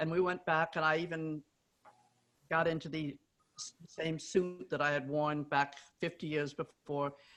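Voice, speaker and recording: Music plays in the background as a woman talks. Her voice is fairly low and her pace is moderate. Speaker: pioneering woman runner. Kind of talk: panel discussion, anecdote.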